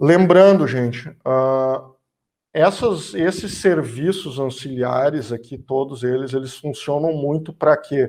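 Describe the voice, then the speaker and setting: This man talks at a very slow pace in a fairly high pitch, with ordinary pitch variation. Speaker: energy sector speaker. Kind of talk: lecture.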